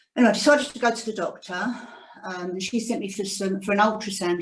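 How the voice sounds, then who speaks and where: Her pace fairly quick, a woman speaks at a medium pitch with ordinary pitch variation. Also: big swings in loudness. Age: 60s. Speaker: cancer survivor. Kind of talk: testimony. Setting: video call. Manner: reading from notes.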